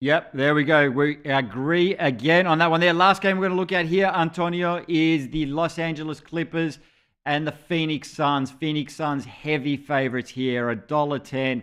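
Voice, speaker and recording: In an Australian accent, a man with a fairly high pitch and ordinary pitch variation speaks at a moderate pace with hardly any pauses over a quiet background. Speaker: basketball show host. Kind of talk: sports betting preview show. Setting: live stream.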